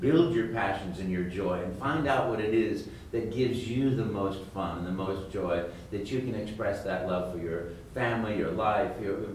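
A man with an American accent talks at a moderate pace, his pitch fairly low with ordinary variation. Light background noise and audible room echo surround his voice. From United States. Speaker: voice actor. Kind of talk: interview answer. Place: hall.

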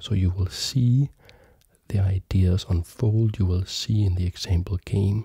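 The speaker is soft-spoken and talks at a fairly slow pace. The sound is dry with no echo, over a quiet background. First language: not German; learning German. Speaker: chess teacher and video creator. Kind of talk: tutorial. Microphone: studio mic.

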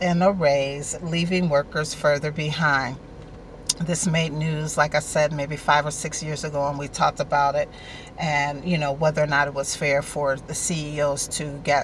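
A woman's very deep, low voice at a fairly slow pace, dry with no echo, over light background noise. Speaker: online show host. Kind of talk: casual vlog chat. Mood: warm, friendly. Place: car. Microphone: phone near.

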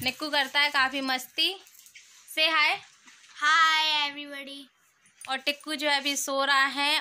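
A woman's raised, projected voice, high-pitched and monotone with flat intonation, at a fairly slow pace. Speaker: family vlogger. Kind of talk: vlog voice-over narration.

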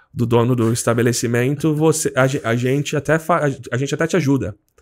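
With a quiet background, a man speaks with vocal fry and ordinary pitch variation. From Brazil, São Paulo state (Jundiaí); São Paulo state, Brazil. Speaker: seminarian, missionary; podcast guest. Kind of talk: casual interview, faith testimony. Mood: calm, earnest. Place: studio. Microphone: studio mic.

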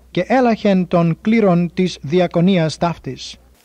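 In a dry, close recording with no echo, a man speaks very slowly in a high pitch, his tone dark and mellow and his pitch variation ordinary. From Cyprus. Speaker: New Testament scholar. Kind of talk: scripture reading.

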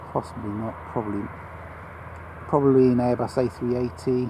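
Against noticeable background noise, a man talks at a fairly quick pace with ordinary pitch variation in a dry sound with no echo. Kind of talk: casual commentary. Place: open country. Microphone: phone near.

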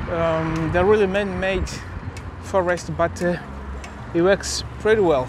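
A man speaks at a fairly slow pace. The sound is dry with no echo, though noticeable background noise is present. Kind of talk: casual vlog commentary. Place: bicycle. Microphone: phone near.

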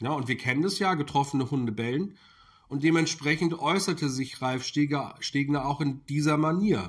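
A somewhat breathy man at a moderate pace, with ordinary pitch variation. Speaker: political commentary YouTuber. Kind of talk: video commentary monologue. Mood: critical, indignant. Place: kitchen.

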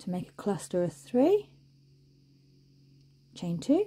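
Slow and dark, a woman's mellow voice carries a slightly husky edge and big pitch swings. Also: medium pitch for a woman.

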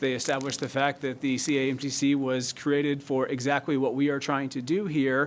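A man's fairly high voice at a fairly quick pace, monotone and flat, with hardly any pauses. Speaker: city staff attorney presenting ordinance. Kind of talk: public meeting presentation. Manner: fast.

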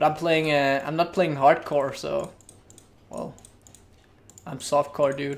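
A man talks at a fairly high pitch and a fairly slow pace. He leaves long, frequent pauses. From Denmark. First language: Danish. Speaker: gaming streamer. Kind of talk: live gameplay commentary. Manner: casual, thinking aloud. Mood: relaxed, mildly frustrated. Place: home room. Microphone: studio mic.

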